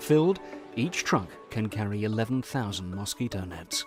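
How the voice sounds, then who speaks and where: A man's lively intonation and moderate pace come through over music in the background. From England. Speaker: voice actor. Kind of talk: documentary narration.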